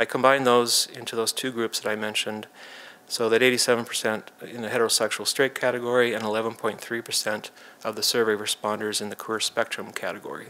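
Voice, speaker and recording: A man speaks at a very fast pace at a medium pitch. His intonation is monotone and flat. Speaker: data analyst presenter. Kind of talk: presentation.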